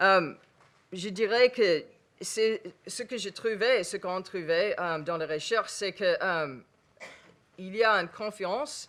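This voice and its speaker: A woman talks very slowly at a medium pitch, with ordinary pitch variation and big swings in loudness. The recording is very clean, with a silent background. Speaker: researcher on interfaith relations. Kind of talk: panel discussion. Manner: halting.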